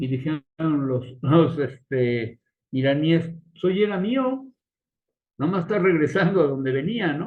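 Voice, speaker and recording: With long, frequent pauses, a man with a fairly high pitch talks at a fairly slow pace. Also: lively intonation. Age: 60s. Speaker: geopolitics panelist. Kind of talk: casual panel discussion. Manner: animated.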